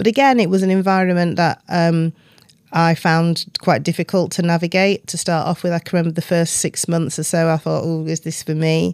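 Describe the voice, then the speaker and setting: A woman with a South Yorkshire accent talks at a fairly quick pace in a fairly low pitch. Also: fairly even intonation. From northern England, Doncaster. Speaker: business executive. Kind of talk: interview.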